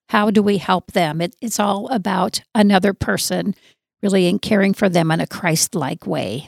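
A woman with an American accent at a medium pitch and moderate pace, with vocal fry, on a very clean recording with a silent background and a dry, close sound with no echo. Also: ordinary pitch variation. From US Southwest (southern Arizona). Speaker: church ministry leader. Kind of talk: interview.

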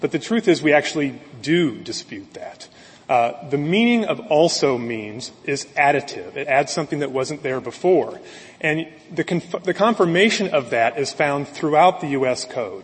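Noticeable background noise surrounds a man's voice. He speaks at a moderate pace in a fairly high pitch. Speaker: appellate lawyer. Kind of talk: oral argument. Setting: courtroom. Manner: formal.

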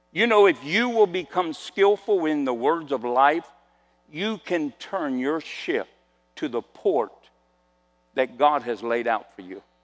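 Fairly high in pitch, a man speaks at a fairly slow pace with very wide pitch swings, big swings in loudness, and long, frequent pauses. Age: 70s. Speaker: pastor. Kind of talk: sermon. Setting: church.

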